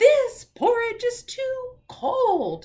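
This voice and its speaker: This put-on character voice is loud and squeaky, pitched extremely high. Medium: read story. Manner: loud and clear.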